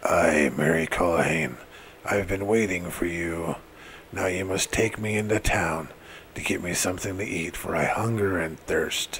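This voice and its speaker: Against clear background noise, a man whispers in a put-on character voice at a moderate pace. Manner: whispering, evil.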